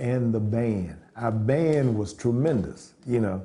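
A man speaks with a dark, mellow tone. His voice is somewhat breathy. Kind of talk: interview answer. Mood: proud, warm nostalgia. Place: home room.

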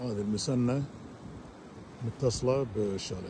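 There is audible room echo around a man's dark, mellow tone. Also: medium pitch for a man, ordinary pitch variation, moderate pace.

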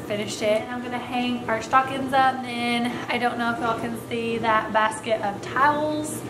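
Noticeable noise sits in the background. The speaker is a woman. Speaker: beauty vlogger. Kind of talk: casual vlog, get ready with me. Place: home room. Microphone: phone near.

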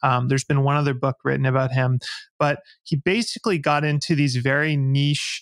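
Against a quiet background, a man speaks with monotone, flat intonation. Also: dry sound with no echo. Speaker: podcast guest. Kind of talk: interview answer. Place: home room. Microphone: studio mic.

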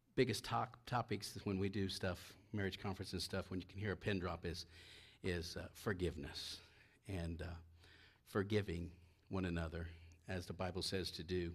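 A man's very deep, low, somewhat breathy voice with long, frequent pauses against a quiet background. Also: fairly even intonation, moderate pace. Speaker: preacher. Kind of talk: sermon. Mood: relaxed, joking. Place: church. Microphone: headset.

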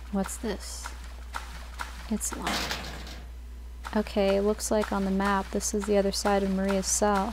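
Long, frequent pauses break up a woman's fairly slow delivery. Noticeable background noise runs underneath. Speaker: gaming video creator. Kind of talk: let's play commentary. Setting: home recording at night, lights off. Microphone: new microphone, better audio.

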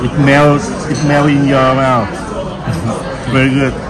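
A man at a slow pace in a medium pitch, with fairly even intonation, clear background noise, and clear crowd noise in the background.

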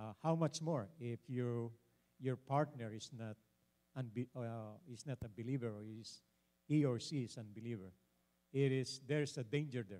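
With a Filipino accent, a man speaks in a dark, mellow tone at a moderate pace, with ordinary pitch variation and big swings in loudness. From Philippines. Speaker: pastor and panelist; pastor, panelist. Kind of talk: panel discussion. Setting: church. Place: church. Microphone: handheld.

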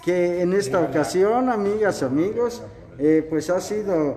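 A man's high-pitched voice with music in the background. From Mexico, Guanajuato. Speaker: local news reporter. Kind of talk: on-location report and interview. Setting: indoors at cultural center, dim candlelight. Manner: formal. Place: hall. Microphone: phone near.

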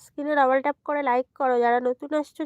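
A woman speaks at a high pitch in a monotone, flat delivery, with a dry, close sound and no echo. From India, South 24 Parganas, West Bengal. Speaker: live streamer. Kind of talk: casual live stream chat. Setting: lying down during live stream.

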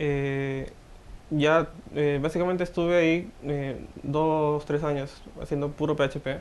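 A man with a fairly high pitch speaks at a very slow pace in a monotone, flat intonation, with long, frequent pauses. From Trujillo, northern Peru. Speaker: software developer and student. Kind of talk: interview. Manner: hesitant, many fillers.

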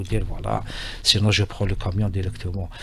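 This man's voice sits at a fairly low pitch. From Algeria. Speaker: railway company executive; radio guest. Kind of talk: radio interview. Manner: halting, many repetitions and hesitations. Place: studio. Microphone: studio mic.

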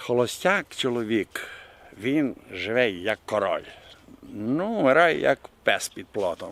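A man's medium-pitched voice at a very slow pace, with very wide pitch swings and a Bukovinian accent. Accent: Bukovinian village dialect. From Bukovina, Ukraine. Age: 70s. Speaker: retired history teacher, village craftsman. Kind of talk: interview answer. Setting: outdoors. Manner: humorous, colourful.

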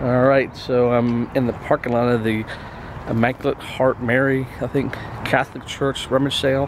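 At a moderate pace, a man speaks amid noticeable background noise, the sound dry with no echo. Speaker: vlogger. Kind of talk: casual vlog chat. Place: street. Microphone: phone near.

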